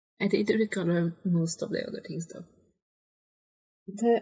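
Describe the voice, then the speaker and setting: A woman talks with a non-native accent and ordinary pitch variation. Her voice is somewhat breathy. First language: not English. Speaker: gaming video creator. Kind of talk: game commentary. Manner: halting, hesitant; sighs a lot.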